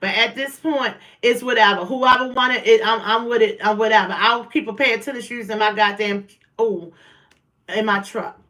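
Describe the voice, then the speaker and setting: A woman speaks loudly in an animated tone. Her voice is bright and sharp. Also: fairly high pitch for a woman, moderate pace. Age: 40s. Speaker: livestream host. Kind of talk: casual livestream chat. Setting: at home, livestream.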